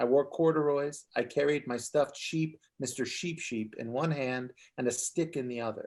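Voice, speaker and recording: A man's unremarkable speaking voice, fairly high-pitched, with ordinary pitch variation and a moderate pace, on a very clean recording against a silent background. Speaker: author. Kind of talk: author reading aloud from his own memoir at a bookstore event.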